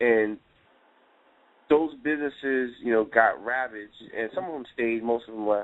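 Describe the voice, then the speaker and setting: Speaking at a fairly quick pace, the voice is an unremarkable speaking voice with ordinary pitch variation. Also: man. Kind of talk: casual discussion on a talk show.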